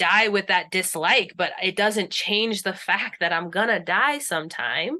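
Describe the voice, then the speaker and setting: She speaks at a medium pitch, with ordinary pitch variation and at a moderate pace. It's a woman with an unremarkable speaking voice. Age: 30s. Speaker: death doula. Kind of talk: casual chat. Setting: video call.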